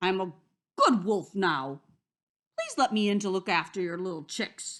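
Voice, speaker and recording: Putting on a character voice, a woman speaks at medium pitch and a moderate pace. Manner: sweet and falsely kind.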